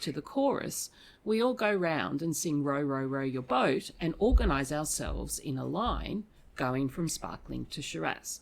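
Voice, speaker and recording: Speaking at a fairly slow pace with an Australian accent, a woman with a very deep, low pitch uses lively intonation in a very clean recording with a silent background. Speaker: academic podcast host. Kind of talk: casual academic discussion. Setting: studio table.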